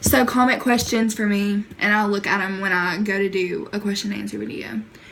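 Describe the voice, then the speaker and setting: A woman with an American accent talks at a fairly quick pace against noticeable background noise. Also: medium pitch for a woman. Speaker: YouTuber. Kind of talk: casual storytelling vlog. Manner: animated.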